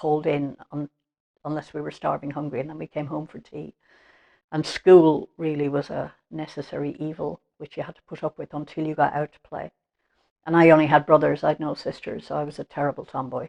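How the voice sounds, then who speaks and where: Someone with an Irish accent speaks at a fairly quick pace in a flat, monotone intonation, with big swings in loudness. The sound is dry and close with no echo, over a quiet background. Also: woman, very deep, low pitch for a woman. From Ireland, Limerick. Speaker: interviewee. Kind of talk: life-story interview. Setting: at home.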